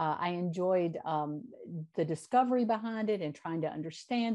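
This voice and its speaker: This voice has a dark, mellow tone, ordinary pitch variation and a moderate pace. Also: woman. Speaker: mathematics education professor. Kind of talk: interview. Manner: energetic.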